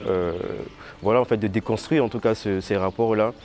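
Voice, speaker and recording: Noticeable background noise sits behind this voice. A man speaks at a fairly low pitch with fairly even intonation. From Ivory Coast. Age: 20s. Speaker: visual artist. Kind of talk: interview. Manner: halting, many fillers.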